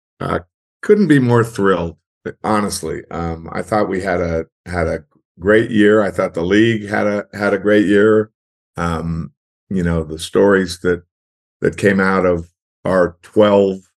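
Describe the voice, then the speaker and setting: A man's very deep, low voice, fairly slow and fairly even in intonation, with long, frequent pauses. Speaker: golf broadcast producer. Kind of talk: interview.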